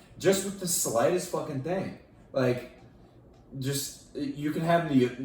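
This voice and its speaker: A loud man with a fairly high pitch, very wide pitch swings and a moderate pace, in a room with audible echo. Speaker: fitness podcast host. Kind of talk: casual chat.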